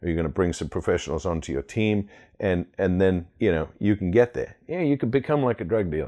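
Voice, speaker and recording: This man has an ordinary speaking voice, fairly low in pitch, with lively intonation at a fairly quick pace. The background is quiet. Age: 40s. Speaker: roofing company owner. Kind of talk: interview conversation.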